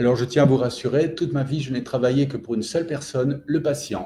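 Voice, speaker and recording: The voice is somewhat breathy with a dark, mellow tone and moves at a fairly quick pace. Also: man. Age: 60s. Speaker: general practitioner. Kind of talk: interview testimony. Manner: enthusiastic; hesitant, many fillers.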